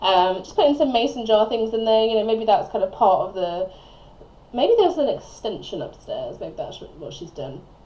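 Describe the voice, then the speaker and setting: Mumbling at a moderate pace, a woman speaks at a medium pitch with lively intonation. Audible room echo surrounds her voice. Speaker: gaming video creator. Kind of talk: voiceover commentary on a speed build. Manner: rambling, chatty.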